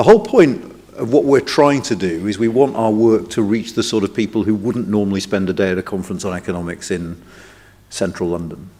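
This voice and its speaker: This is an unremarkable speaking voice, moving at a fairly quick pace. Its pitch variation is ordinary. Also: man, fairly low pitch for a man. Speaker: think tank director opening a conference. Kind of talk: welcome speech.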